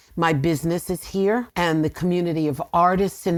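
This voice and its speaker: Recorded very cleanly against a silent background, a woman with a New York accent talks at a moderate pace and a fairly low pitch. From New York, Rockland County. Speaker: voice teacher. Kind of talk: casual chat. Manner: animated.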